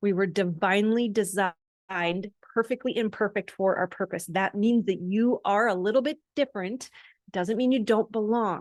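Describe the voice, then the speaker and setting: At a moderate pace and medium pitch, a woman with an unremarkable speaking voice talks with ordinary pitch variation and very even loudness, in a dry, close sound with no echo against a quiet background. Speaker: life coach. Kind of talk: motivational talk to camera.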